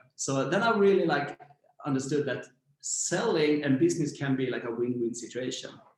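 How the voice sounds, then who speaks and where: Lively in intonation, a man with a Swedish accent and a fairly high pitch speaks at a moderate pace. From Sweden, Växjö. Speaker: startup founder. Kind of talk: interview.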